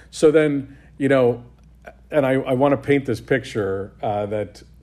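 This man has an unremarkable speaking voice, with ordinary pitch variation and a moderate pace. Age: 50s. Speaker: podcast host and writer. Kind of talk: podcast interview. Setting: on location at guest's office.

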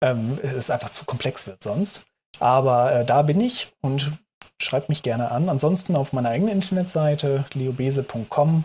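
This man's pitch sits fairly high. His voice is somewhat breathy. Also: ordinary pitch variation, moderate pace. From Hamburg, northern Germany. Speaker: food startup consultant. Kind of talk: interview. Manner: hesitant, many filler sounds.

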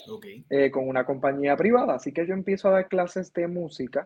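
With a fairly high voice and ordinary pitch variation, a man speaks at a moderate pace. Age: 30s. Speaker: musician and music teacher. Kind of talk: interview conversation.

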